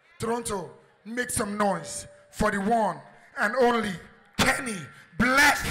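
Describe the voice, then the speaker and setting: A man's high-pitched, raised, projected voice at a fairly slow pace, with fairly even intonation and long, frequent pauses, amid audible room echo and noticeable background noise. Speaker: comedian. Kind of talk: stage introduction. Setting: stage with audience.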